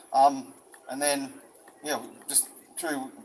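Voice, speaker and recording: Noticeable background noise fills the clip. A man talks in a fairly high voice. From New South Wales, Albion Park Rail. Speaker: rally speaker. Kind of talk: public speech at a protest rally. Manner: halting.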